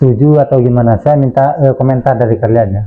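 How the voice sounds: A man talks at a fast pace with fairly even intonation.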